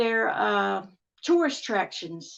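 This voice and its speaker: A woman talks with a Southern accent. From Texas, US. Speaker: amateur paranormal researcher. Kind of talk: podcast interview.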